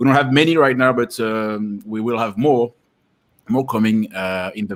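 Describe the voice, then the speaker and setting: Speaking with a French accent, a man takes a fairly slow pace. His pitch variation is ordinary. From France. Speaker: company tutorial presenter. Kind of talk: webinar introduction. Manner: halting, searching for words.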